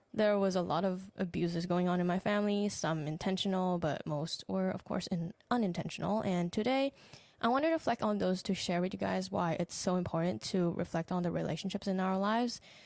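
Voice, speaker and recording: A woman's medium-pitched voice moving at a fairly quick pace with hardly any pauses. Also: ordinary pitch variation. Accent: Thai. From Thailand. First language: Thai. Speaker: podcast host, relationship coach. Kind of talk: solo podcast reflection.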